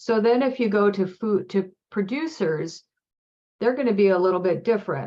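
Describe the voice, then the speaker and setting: A woman's unremarkable speaking voice at a moderate pace. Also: medium pitch for a woman, very even loudness. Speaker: food systems program presenter. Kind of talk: webinar presentation.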